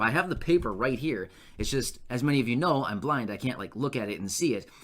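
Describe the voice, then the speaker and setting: Bright and sharp, a man's voice with vocal fry and very wide pitch swings moves at a fairly quick pace on a very clean recording with a silent background. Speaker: YouTube news commentator. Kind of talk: casual video update. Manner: stutters at times; conversational, unedited with fillers.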